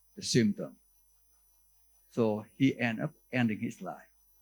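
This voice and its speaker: A man with a Vietnamese accent talks at a medium pitch. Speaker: neurologist professor. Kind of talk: conference lecture. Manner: halting, with many fillers and restarts.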